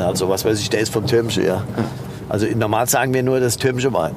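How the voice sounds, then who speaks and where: A man with ordinary pitch variation, audible room echo and noticeable background noise. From Nahe region, Rhineland-Palatinate, Germany. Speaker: winemaker. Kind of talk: casual conversation during a vineyard walk. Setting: outdoors in vineyards. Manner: hesitant, many fillers.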